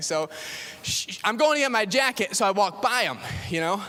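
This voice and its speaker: A man speaks in a raised, projected voice. Noticeable background noise sits behind him. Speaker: pastor. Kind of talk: sermon. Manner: casual, conversational.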